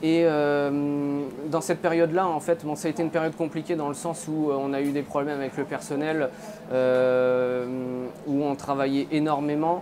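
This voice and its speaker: Over noticeable background noise, a man with a fairly high pitch talks at a moderate pace in a monotone, flat way. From France, Nancy (Lorraine); Lorraine, France. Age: 30s. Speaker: charcutier-caterer, business owner. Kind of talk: interview testimony. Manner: halting, many hesitations. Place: shop. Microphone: lapel.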